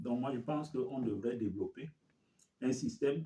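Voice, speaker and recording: Dark and mellow in tone, a man's somewhat breathy, medium-pitched voice moves at a fairly slow pace with ordinary pitch variation. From Cameroon. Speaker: community leader, finance expert. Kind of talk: interview. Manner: halting.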